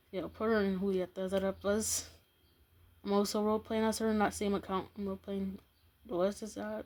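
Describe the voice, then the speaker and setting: Soft-spoken, a woman talks at a medium pitch. The recording is very clean, with a silent background. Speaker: YouTuber. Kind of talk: casual vlog commentary. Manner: halting.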